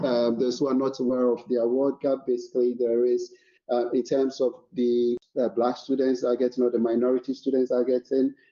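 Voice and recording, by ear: A man's fairly quick, monotone delivery at a medium pitch with a dark, mellow tone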